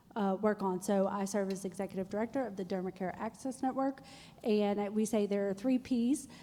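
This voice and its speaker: Speaking at a fairly quick pace, a woman keeps a medium pitch and fairly even intonation. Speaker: health policy nonprofit director. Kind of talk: panel discussion. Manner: loud.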